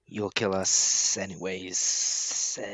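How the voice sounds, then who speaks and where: A man speaks in a put-on character voice with a very deep, low pitch. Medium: actual play. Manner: terse, hissing.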